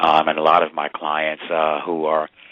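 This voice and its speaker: A man speaks with an American accent at a very deep, low pitch. There is noticeable background noise. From New York City. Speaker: entertainment lawyer. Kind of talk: radio interview.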